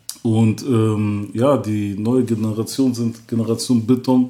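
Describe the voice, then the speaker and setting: The speaker is a man whose tone is dark and mellow. He talks at a medium pitch. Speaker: rapper. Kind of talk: casual interview.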